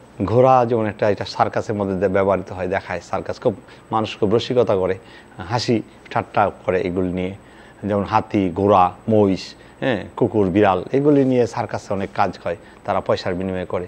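A man speaks with fairly even intonation in a fairly low voice. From Bangladesh. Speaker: local politician. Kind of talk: statement to press. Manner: halting. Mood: aggrieved, defending his sister. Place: office.

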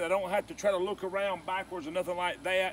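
Light background noise accompanies a man's voice. The sound is dry, with no echo. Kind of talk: tutorial. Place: garden. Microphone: camera far.

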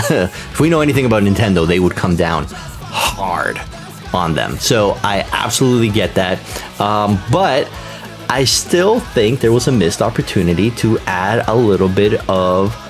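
A man's fairly low voice at a moderate pace, with clear music in the background. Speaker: reaction video host. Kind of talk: casual commentary. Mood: enthusiastic, upbeat. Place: home room.

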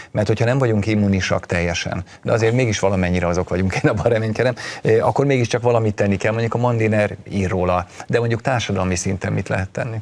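Very fast speech from a man, fairly low in pitch, the intonation fairly even. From Hungary. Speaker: TV talk show host. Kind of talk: studio discussion moderation. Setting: TV studio. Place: studio. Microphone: lapel.

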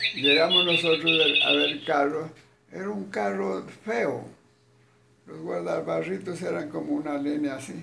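With noticeable background noise behind it, the voice moves at a fairly slow pace with very wide pitch swings and long, frequent pauses. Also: man, fairly high pitch for a man. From Túquerres, Nariño, Colombia. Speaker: elderly storyteller. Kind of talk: interview answer, personal anecdote. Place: home room. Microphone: phone near.

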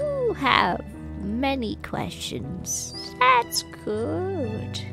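Someone speaks in a put-on character voice at a very slow pace. Clear music plays in the background. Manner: wise, slow, solemn.

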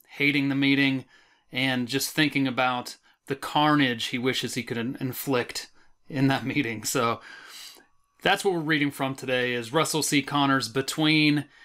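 Against a quiet background, a man speaks at a moderate pace in a fairly high pitch, his tone bright and sharp and his intonation fairly even. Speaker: horror author. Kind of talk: casual talk to camera. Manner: no put-on accents. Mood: wry, playful. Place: home room. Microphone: webcam.

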